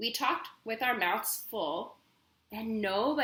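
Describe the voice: Plain reading aloud makes up the recording.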